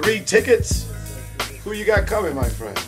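Clear music is audible in the background. Over it, a man talks at a fairly slow pace. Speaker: circus ringmaster. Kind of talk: casual backstage talk. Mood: playful teasing.

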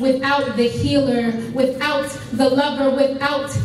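Very slow and high-pitched, a woman speaks with audible room echo and light background noise. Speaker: spoken word poet. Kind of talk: spoken word poetry performance at a fundraiser event. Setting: live event, speaking to an audience. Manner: forceful, assertive, defiant. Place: hall. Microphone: camera far.

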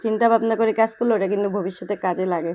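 Her fairly high voice keeps fairly even intonation throughout, a woman speaking. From Bangladesh, Noakhali. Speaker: home cooking vlogger. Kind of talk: cooking tutorial. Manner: casual, chatty.

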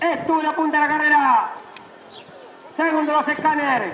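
A man speaks in a raised, projected voice at an extremely high pitch with monotone, flat intonation. Noticeable background noise is present. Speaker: horse race caller. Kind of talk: live horse race commentary. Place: stadium.

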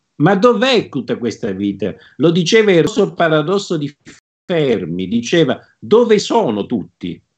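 Using vocal fry, a man speaks at a fairly slow pace in a fairly high pitch. His pitch swings very wide, and the background is quiet. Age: 50s. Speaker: plant scientist and author. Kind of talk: interview. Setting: video call. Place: home room. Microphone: video call.

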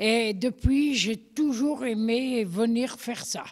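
This woman speaks at a very slow pace. Her fairly high pitch shows ordinary variation. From Haute-Savoie, France (Thônes). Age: 80s+. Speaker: blacksmith's widow. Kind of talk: interview. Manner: halting.

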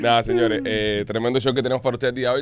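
The sound of this man talking is dry, with no echo at all. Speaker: comedy podcast host. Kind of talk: casual comedic chat, reading listener messages. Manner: animated. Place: studio.

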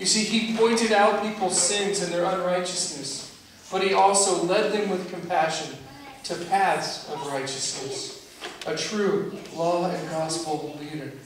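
Over noticeable background noise and strong room echo, a man talks fairly slowly in a high pitch with ordinary pitch variation. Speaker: pastor. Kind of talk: sermon. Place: church. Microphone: camera far.

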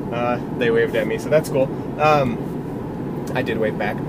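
Loud background noise runs under a man's voice. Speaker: vlogger. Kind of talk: casual vlog chat. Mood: relaxed, upbeat. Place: car.

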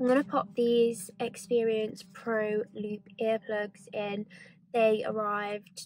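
Her intonation monotone and flat, a woman speaks at a very slow pace with a dry sound and no echo. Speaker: vlogger. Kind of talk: casual vlog chat. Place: car. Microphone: phone near.

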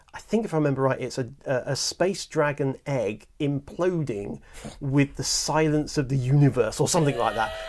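A man speaks at a moderate pace with few pauses, his medium-pitched voice slightly mellow and his pitch varying in an ordinary way.

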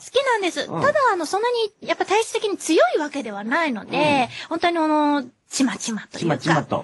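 Her voice extremely high in pitch, a woman speaks with very wide pitch swings and big swings in loudness. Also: fairly quick pace. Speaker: voice actor. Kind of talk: casual radio talk. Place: studio.

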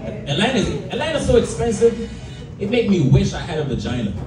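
There is noticeable background noise. A man speaks with very wide pitch swings. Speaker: stand-up comedian. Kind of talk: stand-up comedy set, crude raunchy jokes to a live club crowd. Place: bar. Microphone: camera far.

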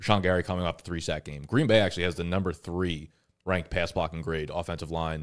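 Against a quiet background, a man with a very deep, low pitch talks at a very fast pace. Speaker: fantasy football show host. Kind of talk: casual chat. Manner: animated. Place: studio. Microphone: studio mic.

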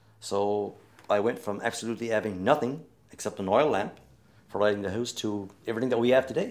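With a Newfoundland French accent, a man speaks at a fairly quick pace over a quiet background. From Newfoundland, Canada. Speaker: storyteller, singer, retired teacher. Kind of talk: interview answer. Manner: casual, hesitant. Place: home room.

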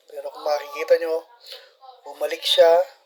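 A man speaks over noticeable background noise. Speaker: barangay official narrating CCTV footage. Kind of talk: video commentary.

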